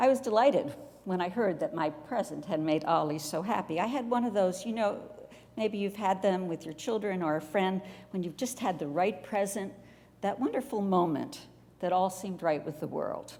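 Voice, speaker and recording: With an American accent, a plain, everyday voice moves at a moderate pace with lively intonation. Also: woman, medium pitch for a woman. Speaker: retired pastor, guest preacher. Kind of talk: church sermon.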